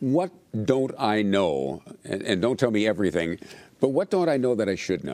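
A man speaks at a moderate pace in a fairly low pitch. His voice swings very widely up and down. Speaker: TV interviewer host. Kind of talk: interview.

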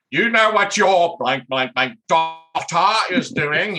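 Putting on a character voice, a man speaks high in pitch at a fairly slow pace.

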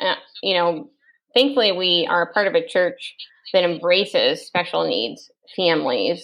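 A woman's medium-pitched voice with vocal fry and lively intonation. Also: moderate pace. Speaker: church family ministry director. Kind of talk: interview.

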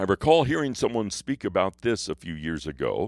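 A man's voice with vocal fry and very wide pitch swings at a moderate pace, dry and close with no echo, in a very clean recording against a silent background. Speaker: pastor. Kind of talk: devotional talk.

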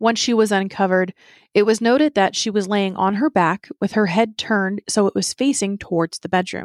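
In a very clean recording with a silent background and a dry, close sound with no echo, a woman speaks in a normal speaking voice at medium pitch with ordinary pitch variation. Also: fairly quick pace. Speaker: true crime podcast host. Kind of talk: true-crime narration. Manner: measured, storytelling; serious, somber.

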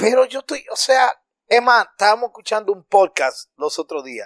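Lively intonation marks this man's voice, recorded dry and close with no echo. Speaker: podcaster. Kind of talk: casual chat. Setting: recording away from studio, at home. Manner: animated.

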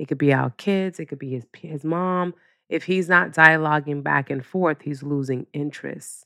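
A woman's very deep, low voice at a moderate pace, dry and close with no echo. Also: quiet background. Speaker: podcast host and business owner. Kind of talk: casual monologue. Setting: home office.

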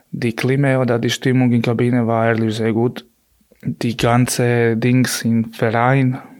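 A medium-pitched man speaks with a monotone, flat intonation. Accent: Croatian. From Croatia. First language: Croatian (speaking German). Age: 30s. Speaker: handball goalkeeper. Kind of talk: interview.

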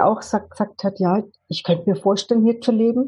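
A woman speaks in a somewhat breathy voice. Her pace is moderate and her intonation fairly even. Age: 50s. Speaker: life coach. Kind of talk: interview. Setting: video call.

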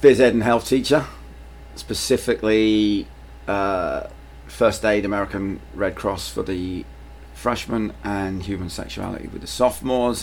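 Speaking slowly-ish at a fairly slow pace, a man with a London accent shows big swings in loudness. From London, England (Irish family). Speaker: high school PE teacher and soccer coach. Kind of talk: casual interview.

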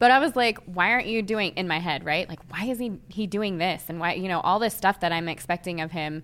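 A woman speaks at a medium pitch and a fairly quick pace with hardly any pauses, in an enthusiastic, warm tone with ordinary pitch variation. The recording is very clean, with a silent background. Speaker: doula and childbirth educator podcast host. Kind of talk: interview podcast, conversational.

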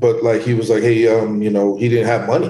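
A man with a dark, mellow tone speaks somewhat breathily at a moderate pace. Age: 40s. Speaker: entrepreneur and boxing gym owner. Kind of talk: casual interview.

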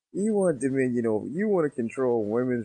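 The man talks at a fairly quick pace with very wide pitch swings, and the sound is dry and close with no echo. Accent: American. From US Northeast. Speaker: podcast co-host. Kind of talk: casual chat.

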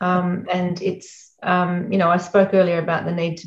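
Somewhat breathy, a woman with an Australian accent speaks at a fairly low pitch. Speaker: education executive and author. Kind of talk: interview. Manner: blunt.

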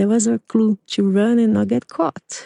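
A woman with a Portuguese accent at a moderate pace, in dry, close sound with no echo. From Brazil, São Paulo. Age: 40s. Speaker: podcast host, artist. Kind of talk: personal storytelling monologue.

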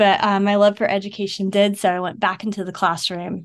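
A woman with an American accent, medium pitch, monotone flat intonation, a moderate pace and a quiet background. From US South, Savannah, Georgia. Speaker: educator and book author. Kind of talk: interview conversation. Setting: remote call.

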